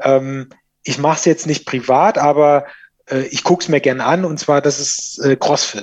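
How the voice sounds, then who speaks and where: A man with an unremarkable speaking voice and fairly high pitch talks at a moderate pace with fairly even intonation. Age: 40s. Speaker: digital marketing manager. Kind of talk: casual interview.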